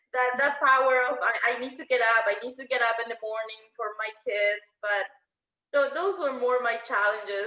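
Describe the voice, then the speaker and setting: A woman speaks with a Spanish accent in a raised, projected voice. Her pace is moderate. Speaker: panelist. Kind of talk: panel discussion.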